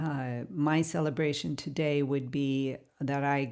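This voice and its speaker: A woman with an American accent speaks at a very slow pace. Her very deep, low voice keeps fairly even intonation. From United States. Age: 60s. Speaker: painter. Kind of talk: casual chat. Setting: studio. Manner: halting.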